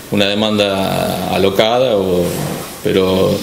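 A man speaks at a fairly low pitch with fairly even intonation over noticeable background noise. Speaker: factory manager. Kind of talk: interview answer. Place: office.

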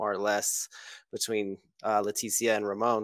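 A man's medium-pitched voice at a fairly quick pace over a quiet background. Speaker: forum member guest. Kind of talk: casual chat. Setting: video call. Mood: relaxed, thoughtful. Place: home room. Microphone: headset.

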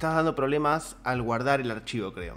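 This is a man talking. The rise and fall of his pitch is ordinary. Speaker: 3D animation teacher. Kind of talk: tutorial feedback commentary. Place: home room. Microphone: studio mic.

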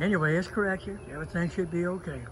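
Fairly quick speech with audible room echo. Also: man. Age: 80s+. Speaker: beekeeper. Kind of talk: casual video talk.

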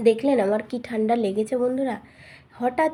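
A woman's fairly high, somewhat breathy voice with a dark, mellow tone. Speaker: home vlogger. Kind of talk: casual vlog narration. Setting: at home.

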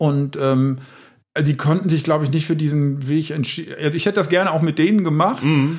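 With a plain, everyday voice, a man speaks at a moderate pace and fairly high pitch, with very even loudness, fairly even intonation and hardly any pauses. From Lower Rhine, Germany (Emmerich). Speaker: comedian. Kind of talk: casual chat.

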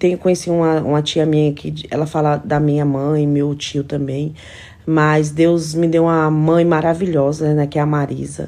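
This woman's voice is very deep and low, with a dark, mellow tone. Her intonation stays monotone and flat. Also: moderate pace. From São Paulo, later many years in Alagoas; São Paulo, Brazil. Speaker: household employee and social media influencer; social media influencer. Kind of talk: casual vlog stories. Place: home room. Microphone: phone near.

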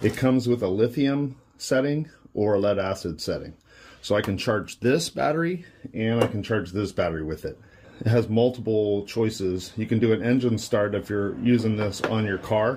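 A man talks at a medium tempo, his pitch rising and falling normally, with light noise in the background. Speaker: DIY demonstrator. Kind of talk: tutorial. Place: workshop. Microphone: phone near.

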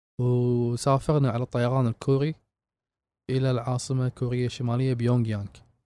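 A man's medium-pitched, dark, mellow voice with a Kuwaiti accent, monotone and flat, at a moderate pace, in a dry, close sound with no echo on a very clean recording with a silent background. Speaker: traveler and explorer. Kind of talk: interview.

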